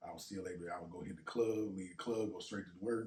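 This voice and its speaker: A man's fairly low, somewhat breathy voice at a fairly quick pace. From US South, Natchez, Mississippi. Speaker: rapper. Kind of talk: casual chat.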